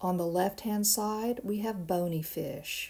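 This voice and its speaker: Recorded very cleanly with a silent background, a woman is speaking. Her pitch varies an ordinary amount. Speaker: biology lab instructor. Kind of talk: recorded lecture. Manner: casual, with filler words; mumbling at times.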